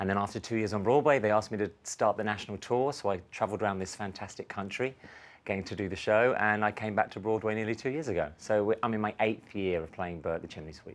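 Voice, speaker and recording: On a very clean recording with a silent background, a man with a London accent talks very fast at a fairly low pitch. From London, England. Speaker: stage actor. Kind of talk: tv interview.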